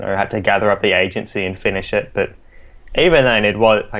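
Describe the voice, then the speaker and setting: In an Australian accent, a man with a fairly low pitch speaks at a fairly quick pace. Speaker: podcast co-host. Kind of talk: casual podcast chat.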